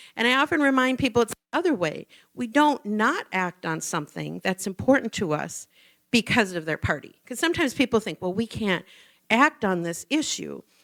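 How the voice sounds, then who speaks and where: On a very clean recording with a silent background and a dry, close sound with no echo, a woman with an American accent talks at a fairly quick pace in a fairly high voice with vocal fry and very wide pitch swings. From Minnesota, US Midwest. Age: 60s. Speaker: nonprofit director. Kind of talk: public talk. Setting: church forum with audience. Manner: conversational.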